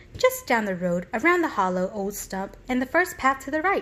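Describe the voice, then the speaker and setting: Using a put-on character voice, a woman speaks at a moderate pace in a high voice with very wide pitch swings, over clear background noise. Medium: read story. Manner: flustered, genteel.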